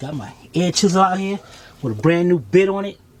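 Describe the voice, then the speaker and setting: A high-pitched man's voice with ordinary pitch variation, over noticeable background noise. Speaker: auto repair youtuber. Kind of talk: tutorial. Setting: outdoors.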